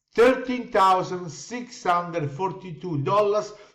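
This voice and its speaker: A man speaks with lively intonation at a high pitch. The room echo is audible. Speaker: crypto investment promoter. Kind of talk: sales pitch.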